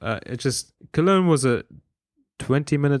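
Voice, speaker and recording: On a very clean recording with a silent background and a dry, close sound with no echo, a man speaks with a German accent at a fairly high pitch. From Germany. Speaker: podcast co-host. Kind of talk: casual chat.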